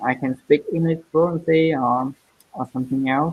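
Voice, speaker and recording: A woman with a Vietnamese accent speaks very slowly in a very deep, low voice, her pitch varying in an ordinary way. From southern Vietnam. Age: 20s. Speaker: English learner. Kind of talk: language lesson. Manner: halting.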